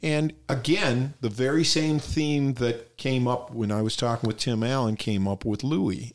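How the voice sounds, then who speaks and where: A man speaks at a medium pitch with lively intonation and a fairly slow pace. It is an ordinary speaking voice. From Detroit, Michigan. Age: 60s. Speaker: stand-up comedian. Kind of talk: casual chat.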